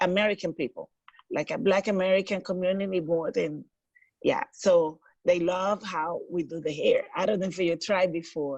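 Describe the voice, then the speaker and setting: A woman talks with a Dominican accent at a medium pitch. Her intonation is fairly even and her pace moderate. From Dominican Republic. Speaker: hairstylist. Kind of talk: interview.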